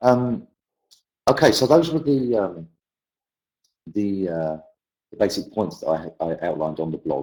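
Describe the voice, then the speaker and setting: A man with a British accent speaks in a fairly low pitch and a dark, mellow tone. His pace is moderate, with very wide pitch swings and long, frequent pauses. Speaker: English language teacher. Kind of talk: webinar presentation.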